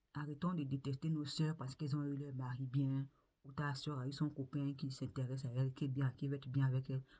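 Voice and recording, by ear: A woman at a fairly quick pace, her extremely low voice dark and mellow, with little pitch movement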